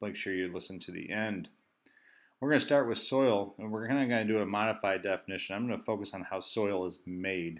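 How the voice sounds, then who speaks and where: Against a quiet background, a man speaks at a fairly quick pace with a fairly low pitch and ordinary pitch variation. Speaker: science teacher. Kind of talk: recorded lesson. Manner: fast.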